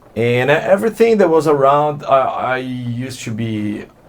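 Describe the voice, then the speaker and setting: There is noticeable background noise as a man with a medium-pitched voice speaks at a moderate pace. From Brazil, São Paulo state (Santo André). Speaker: alt-rock musician. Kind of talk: interview. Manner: halting, many repeated words.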